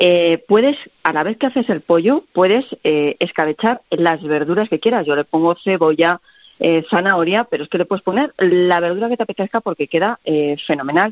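Speaking at a moderate pace, a woman with a fairly low pitch and lively intonation has an unremarkable speaking voice. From Castilla-La Mancha, Spain. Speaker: recipe website creator, cook. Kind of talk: radio interview.

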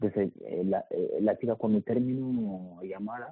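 Intonation stays fairly even as a man speaks at a fairly slow pace. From Mali. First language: not Spanish (speaking Spanish). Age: 20s. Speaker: migrant. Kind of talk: interview testimony. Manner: halting, repeats words.

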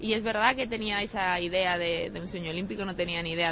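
A woman's fairly low voice at a very fast pace, with fairly even intonation and noticeable background noise. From Spain, Galicia (Pontevedra). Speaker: Olympic sailor. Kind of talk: interview. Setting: airport.

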